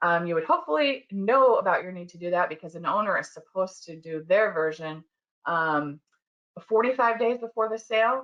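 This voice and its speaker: At a fairly quick pace, a plain, everyday voice moves with lively intonation and big swings in loudness. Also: woman, medium pitch for a woman. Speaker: construction law attorney. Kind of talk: webinar presentation. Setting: online webinar.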